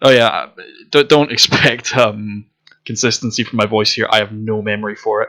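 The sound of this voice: Quiet background, with an unforced reading voice and ordinary pitch variation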